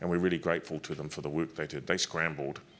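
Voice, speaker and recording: A man with a New Zealand accent, very deep and low in pitch, with monotone, flat intonation over light background noise. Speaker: government official; panelist. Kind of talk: panel discussion. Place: hall. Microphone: handheld.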